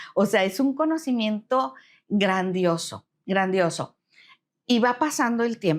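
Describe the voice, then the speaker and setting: A woman's fairly high voice at a very slow pace, with very wide pitch swings and very even loudness, in a very clean recording with a silent background. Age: 60s. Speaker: retired human resources professional. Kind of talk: interview conversation.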